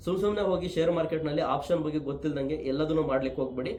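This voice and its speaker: Background noise is noticeable and room echo audible as a man speaks. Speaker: stock market educator. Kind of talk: tutorial.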